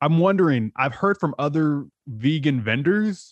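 A man with a Californian accent. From San Diego, California. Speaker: podcast host. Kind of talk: casual interview.

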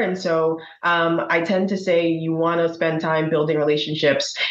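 A woman talks at a moderate pace, her pitch fairly low and her intonation fairly even. Audible room echo fills the recording. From Bahamas. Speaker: accounting firm partner. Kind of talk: interview conversation.

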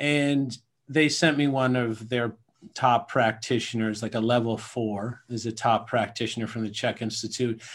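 A man with a Canadian accent speaks at a moderate pace and medium pitch, with fairly even intonation and an unremarkable speaking voice. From Atlantic Canada (Nova Scotia, Newfoundland). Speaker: self-sabotage coach. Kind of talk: interview.

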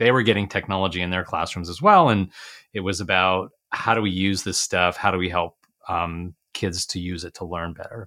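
A man with a very deep, low pitch and a bright, sharp tone comes through on a very clean recording with a silent background. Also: fairly even intonation, fairly quick pace. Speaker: retired school superintendent, education coach. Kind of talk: interview.

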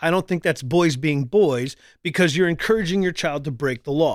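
In a very clean recording with a silent background and a dry, close sound with no echo, a man with a plain, everyday voice talks fairly quickly at a fairly high pitch with ordinary pitch variation. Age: 40s. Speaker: podcast host and radio host. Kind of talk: casual chat. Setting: live stream.

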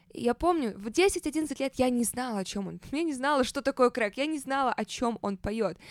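The speaker sounds animated, with lively intonation and hardly any pauses. The recording is very clean with a silent background and a dry, close sound with no echo. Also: woman, high pitch for a woman, moderate pace. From Saint Petersburg, Russia. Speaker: podcast host. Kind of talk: casual storytelling monologue.

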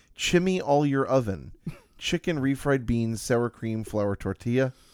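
Heard in a very clean, dry and close recording with no echo and a silent background, a man with an unremarkable speaking voice talks at a fairly slow pace with lively intonation. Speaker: podcast host. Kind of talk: casual chat.

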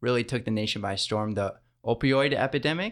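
An ordinary speaking voice from a man with an American accent, medium pitch, fairly even intonation and a moderate pace, on a very clean recording with a silent background. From Michigan. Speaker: diocesan youth ministry director. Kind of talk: interview. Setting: studio.

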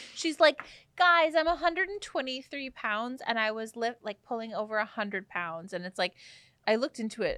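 Recorded very cleanly against a silent background, this woman's fairly high voice has a bright, sharp tone, very wide pitch swings and a moderate pace, with a dry, close sound and no echo. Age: 30s. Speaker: podcast co-host. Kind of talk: casual chat.

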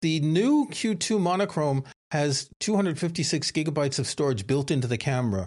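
A man uses an unremarkable speaking voice, moving at a fairly quick pace with lively intonation. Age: 60s. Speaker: photography podcast co-host. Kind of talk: casual chat.

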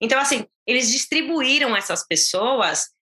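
With a São Paulo accent, a woman speaks at a high pitch and a fairly slow pace, her intonation lively. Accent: Paulistano Brazilian Portuguese. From Brazil, São Paulo (São Caetano do Sul). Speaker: Brazilian immigrant, mother. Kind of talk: casual interview.

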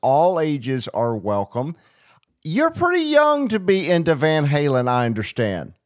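This is a plain, everyday voice at a fairly slow pace. The very clean recording has a silent background and a dry, close sound with no echo. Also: man. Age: 40s. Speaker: radio host. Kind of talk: radio interview.

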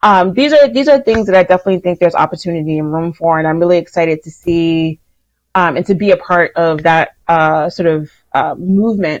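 Over a quiet background, a woman speaks at a fairly quick pace. She has a normal speaking voice, fairly low in pitch. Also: ordinary pitch variation. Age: 40s. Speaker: astrologer and writer. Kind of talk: casual interview chat. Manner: filler-heavy, many likes and ums.

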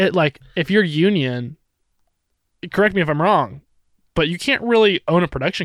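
A man with an American accent and a high pitch speaks at a moderate pace, leaving long, frequent pauses. The recording is very clean, with a silent background. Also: dry, close sound with no echo. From Northern California. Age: 20s. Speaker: cinematographer. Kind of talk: casual chat. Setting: studio. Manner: animated.

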